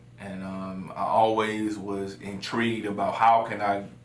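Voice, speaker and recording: Against noticeable background noise and audible room echo, a man with an American accent talks at a fairly low pitch with ordinary pitch variation. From US South, South Carolina (Florence). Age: 20s. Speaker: lawyer and city council candidate. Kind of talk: interview. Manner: hesitant, many fillers.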